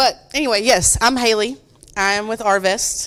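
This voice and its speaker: This is a woman speaking. Her pitch sits fairly high. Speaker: mortgage loan officer. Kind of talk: presentation to audience. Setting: hall with audience, microphone. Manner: loud.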